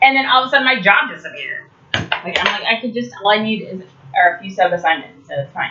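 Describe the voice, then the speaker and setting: Against noticeable background noise, a woman with an American accent and a fairly high pitch talks at a very fast pace with lively intonation and big swings in loudness. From Detroit area, Michigan; later California. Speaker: vlogger. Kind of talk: casual vlog monologue. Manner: halting, many fillers and restarts.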